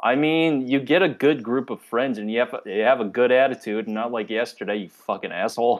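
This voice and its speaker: At a fairly quick pace and medium pitch, a man speaks with hardly any pauses. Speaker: podcast co-host. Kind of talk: casual chat. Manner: monotone.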